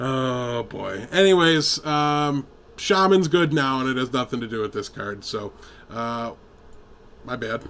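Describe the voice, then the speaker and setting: A man speaks at a medium pitch with ordinary pitch variation. His tone is bright and sharp. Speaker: gaming podcast co-host. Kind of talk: casual chat. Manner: loud when excited.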